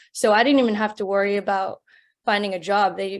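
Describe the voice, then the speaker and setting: Monotone, flat intonation at a fairly quick pace. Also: woman. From California. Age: 30s. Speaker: nurse practitioner and entrepreneur. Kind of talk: interview. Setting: webinar.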